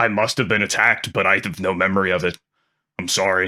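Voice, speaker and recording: Putting on a character voice, a man speaks very fast in a raspy, very deep, low pitch over a very clean recording with a silent background. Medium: actual play.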